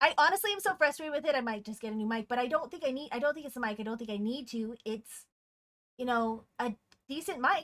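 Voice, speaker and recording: Squeaky and high-pitched, a woman speaks very fast with lively intonation. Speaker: game streamer and esports co-caster. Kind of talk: casual live stream chat. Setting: live stream. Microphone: audio cutting out, peaking and compression problems.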